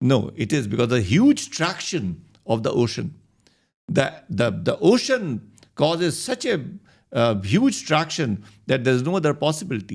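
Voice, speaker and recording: A man speaks at a moderate pace with a fairly high pitch, very wide pitch swings and vocal fry, on a very clean recording with a silent background. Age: 60s. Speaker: doctor and health speaker. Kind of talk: interview conversation. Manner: hesitant, with frequent fillers.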